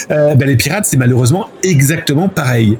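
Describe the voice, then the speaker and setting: A fairly high-pitched man with an animated tone and lively intonation, over noticeable background noise. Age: 40s. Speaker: journalist and cybercrime researcher. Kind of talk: interview. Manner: animated, with many fillers.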